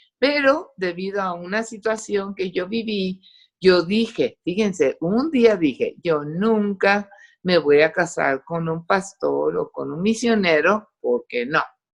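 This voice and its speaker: With an English accent, a woman speaks at medium pitch and a very slow pace. Her intonation is lively. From Costa Rica, raised in English until moving to Mexico at 8-9. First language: English (speaking Spanish). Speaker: testimony giver, doctor. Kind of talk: testimony. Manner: animated.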